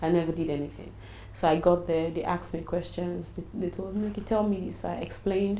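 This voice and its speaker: A woman talks at a very fast pace in a fairly low voice. There is audible echo in the room. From Nigeria, Edo/Ondo area (Benin City). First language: Nigerian native language. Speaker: businesswoman and travel consultant. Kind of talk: interview. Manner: animated.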